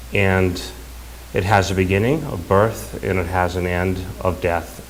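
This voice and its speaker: A man speaks with a very deep, low pitch. The recording carries audible room echo. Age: 60s. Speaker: son giving eulogy. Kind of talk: eulogy. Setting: funeral service. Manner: halting.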